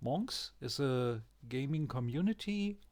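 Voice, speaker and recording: A man with a German accent speaks at a very slow pace. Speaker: gaming YouTuber. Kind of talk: game tutorial. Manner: hesitant, with fillers.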